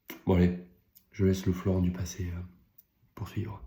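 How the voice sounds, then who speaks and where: This man's voice is pitched very deep and low. It carries some breathiness. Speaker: business coach and content creator. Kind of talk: casual vlog monologue. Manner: halting, with fillers; whispering at times.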